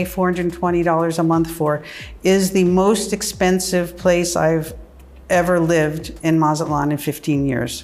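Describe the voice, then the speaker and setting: A woman's normal speaking voice with an American accent, fairly low in pitch, with ordinary pitch variation, very even loudness and a moderate pace. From US (New York, California). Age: 60s. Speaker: retired journalist. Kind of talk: personal testimony interview. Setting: in her apartment.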